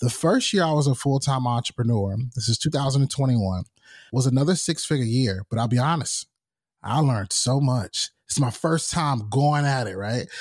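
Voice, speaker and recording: A somewhat breathy man with an American accent at a moderate pace, in a very clean recording with a silent background. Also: medium pitch for a man, ordinary pitch variation. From North Carolina, US South. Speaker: podcast host and talent manager. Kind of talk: casual interview chat.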